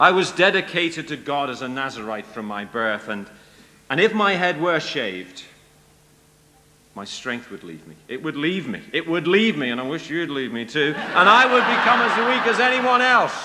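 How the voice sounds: In a room with audible echo, a man puts on a character voice at a moderate pace, fairly high for a man, bright and sharp in tone, with big swings in pitch.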